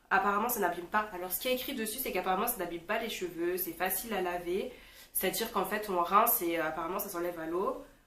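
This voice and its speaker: A woman's medium-pitched voice at a very fast pace, with ordinary pitch variation and audible room echo. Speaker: beauty vlogger. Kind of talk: casual product review vlog. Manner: casual, hesitant with fillers.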